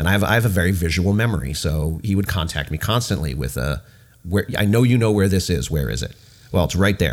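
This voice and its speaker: Using lively intonation at a fairly quick pace, a man talks with a very deep, low pitch and vocal fry. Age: 30s. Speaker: brewer. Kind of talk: casual chat.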